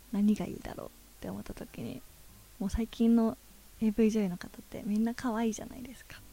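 A woman's fairly high, somewhat breathy voice with a dark, mellow tone, fairly even intonation, big swings in loudness, and long, frequent pauses. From Japan, Ishikawa (Hokuriku). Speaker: adult video actress. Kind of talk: interview.

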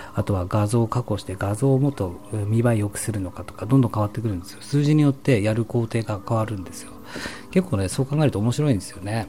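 Over music in the background, a man with a fairly low pitch talks at a very fast pace, with ordinary pitch variation and big swings in loudness. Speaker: solo streamer. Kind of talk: late-night sleep-talk broadcast, intimate whispered ASMR-style monologue. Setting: home recording with stereo microphone.

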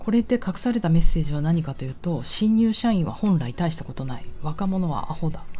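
A woman with a fairly low pitch speaks in a relaxed tone with lively intonation and hardly any pauses, over noticeable background noise. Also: fairly quick pace. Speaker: personal trainer and podcaster. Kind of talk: casual monologue. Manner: relaxed, laid-back.

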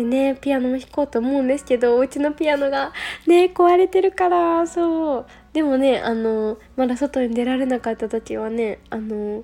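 High-pitched and relaxed in tone, a woman speaks at a moderate pace with ordinary pitch variation. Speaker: yoga instructor. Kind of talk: casual solo radio talk. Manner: relaxed, many fillers.

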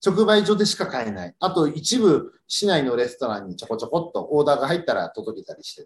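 A man talks at a very fast pace with hardly any pauses, his fairly high voice showing vocal fry. His pitch swings very widely and his loudness rises and falls a lot. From Yokohama, Japan. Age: 40s. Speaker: farmer. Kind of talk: casual radio interview.

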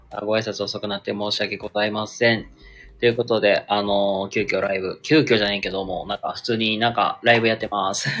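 A man's fairly low, monotone voice with flat intonation, at a fairly quick pace. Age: 20s. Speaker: livestreamer. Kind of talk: casual chat. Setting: solo live stream.

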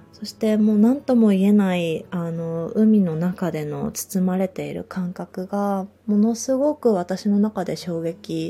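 A woman's normal speaking voice at a medium pitch and a fairly slow pace. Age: 30s. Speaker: yoga instructor. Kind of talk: casual monologue podcast. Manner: relaxed, laughs often.

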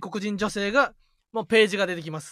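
A man speaks with a Kansai accent in a high voice. The sound is dry and close with no echo, and the recording is very clean against a silent background. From Osaka, Kansai. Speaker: comedian, radio podcast co-host. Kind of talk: casual chat. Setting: live stream.

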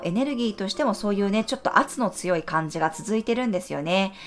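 A woman speaks at a medium pitch in an ordinary speaking voice. Her intonation is lively. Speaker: astrologer and tarot reader. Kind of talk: daily horoscope podcast monologue. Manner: gentle, conversational with frequent ね fillers.

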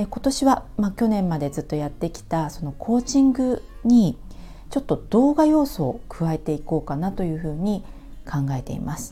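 Her voice is dark and mellow, somewhat breathy, at a medium pitch with very wide swings. The woman keeps a moderate pace. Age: 40s. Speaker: coach. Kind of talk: solo monologue. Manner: halting.

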